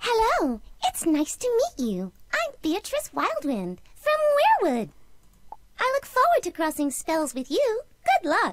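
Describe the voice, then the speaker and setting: A female-sounding put-on character voice, extremely high in pitch, at a fairly slow pace with long, frequent pauses. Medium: video game.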